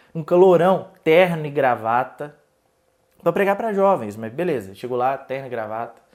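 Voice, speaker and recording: A man speaks with a Minas Gerais accent at a moderate pace, his pitch fairly high. The recording is very clean, with a silent background. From Minas Gerais, Brazil. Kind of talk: relaxed.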